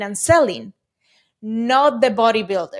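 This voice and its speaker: A woman with a Spanish accent speaks at a high pitch and a fairly slow pace. The recording is very clean, with a silent background. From Venezuela. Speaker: e-commerce company CEO. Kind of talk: podcast interview.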